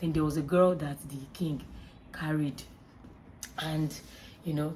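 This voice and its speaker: The voice has a dark, mellow tone and is somewhat breathy. Its pitch varies in an ordinary way. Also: woman. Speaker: YouTube movie reviewer. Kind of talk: casual movie review vlog. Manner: fast.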